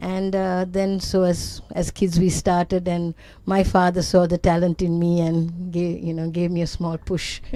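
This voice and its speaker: A woman speaks at a fairly slow pace in a dark, mellow tone. Her intonation is monotone and flat. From Sri Lanka. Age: 70s. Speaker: amateur golfer. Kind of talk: interview.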